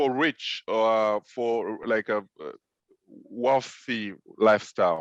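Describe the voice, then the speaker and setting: A man with a French accent talks at a very slow pace. His medium-pitched voice has ordinary pitch variation and a dry, close sound with no echo. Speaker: film director and web series co-host. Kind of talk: casual script-writing session.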